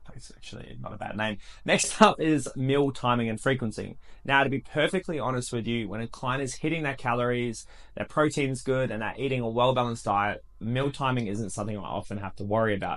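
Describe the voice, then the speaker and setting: Over a quiet background, a man talks at a fairly quick pace with a medium pitch and ordinary pitch variation. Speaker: personal trainer. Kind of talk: tutorial. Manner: fast; casual.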